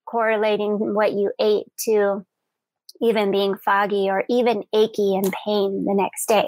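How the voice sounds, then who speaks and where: With a normal speaking voice, a woman speaks at a fairly slow pace and fairly high pitch. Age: 40s. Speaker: podcast host and yoga teacher. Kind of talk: live broadcast talk. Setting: live video stream.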